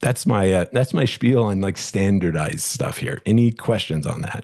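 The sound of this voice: A man's fairly low voice with a slightly mellow tone, some vocal fry, lively intonation and a moderate pace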